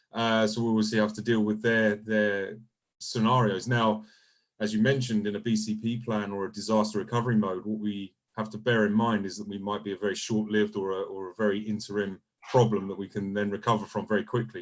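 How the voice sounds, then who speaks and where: A man with a fairly low pitch rattles along at a very fast pace in a monotone, flat intonation. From UK. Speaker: solution engineering team lead. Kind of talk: webinar panel discussion. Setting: video call.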